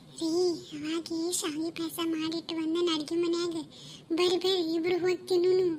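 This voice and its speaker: A woman's cartoonish character voice, extremely high in pitch, monotone and flat, at a fairly slow pace over clear background noise. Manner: sharp, bossy village dialect.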